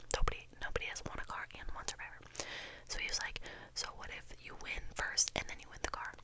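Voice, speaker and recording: A woman whispers at a fairly quick pace. Noticeable background noise is present. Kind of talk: casual talk to camera. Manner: whispered, rambling.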